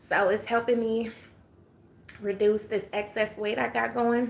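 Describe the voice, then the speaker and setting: Her fairly high voice moving at a fairly slow pace, a woman speaks. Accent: Atlanta. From US South, Atlanta, Georgia. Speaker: livestreamer. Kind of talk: casual chat. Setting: live stream.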